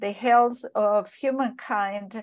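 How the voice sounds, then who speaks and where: Against a quiet background, a woman at a medium pitch speaks at a very slow pace with fairly even intonation. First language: not English. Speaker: expert panelist. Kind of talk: webinar lecture. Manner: halting, many fillers.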